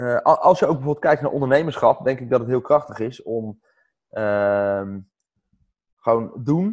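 The background is quiet as a man talks fairly slowly. His pitch varies in an ordinary way. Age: 30s. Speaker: entrepreneur and coach. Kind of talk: interview.

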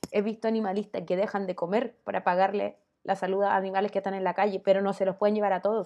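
A woman speaks with a Chilean accent. Her pace is very fast. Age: 30s. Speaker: YouTuber. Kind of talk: casual vlog monologue.

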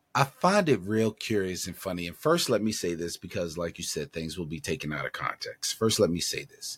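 In a dry, close sound with no echo, a man with a plain, everyday voice talks at a fairly quick pace with hardly any pauses, a fairly low pitch and lively intonation. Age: 50s. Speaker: sports podcast co-host. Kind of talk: casual sports chat.

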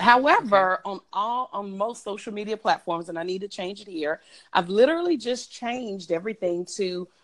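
With a Southern US accent, a woman of medium pitch talks at a fairly quick pace with lively intonation and big swings in loudness. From Mississippi Gulf Coast. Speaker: business consultant. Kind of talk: casual chat.

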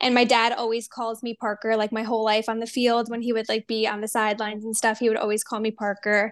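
Talking very fast with hardly any pauses, a woman with an American accent keeps a monotone, flat intonation at a fairly high pitch. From New Jersey. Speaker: fashion brand founder and designer. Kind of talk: interview.

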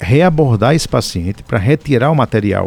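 Lively intonation from a man of medium pitch, with a dark, mellow tone and a dry, close sound with no echo. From Paraíba, Brazil. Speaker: orthopedic surgeon. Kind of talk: radio interview. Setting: radio studio.

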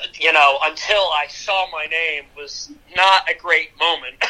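Speaking very slowly, a man with a Pennsylvania accent has a high voice and fairly even intonation. Background noise is noticeable. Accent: Pennsylvania American English. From US Northeast (Easton, Pennsylvania). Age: 20s. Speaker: TV news producer. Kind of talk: casual chat.

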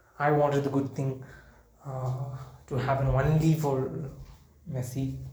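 A man with a dark, mellow, somewhat breathy tone speaks fairly slowly in a flat monotone while the room echoes audibly. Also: medium pitch for a man. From India, Kerala. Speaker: podcaster. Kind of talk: casual monologue. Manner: halting, many fillers.

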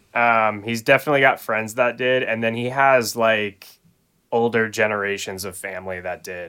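On a very clean recording with a silent background, a man with an unremarkable speaking voice talks at a moderate pace and medium pitch, his intonation fairly even but his loudness swinging widely. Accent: American. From Phoenix, Arizona. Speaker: guitarist. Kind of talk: casual chat.

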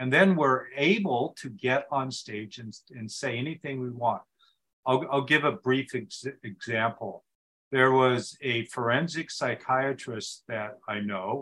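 Speaking at a fairly slow pace, a man uses a bright, sharp tone with big swings in loudness and ordinary pitch variation. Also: medium pitch for a man. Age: 60s. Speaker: speaking coach and author. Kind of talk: interview conversation.

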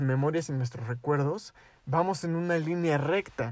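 A man is speaking. His voice sits at a fairly high pitch. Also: very clean recording, silent background. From Mexico. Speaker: youtuber. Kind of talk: casual chat.

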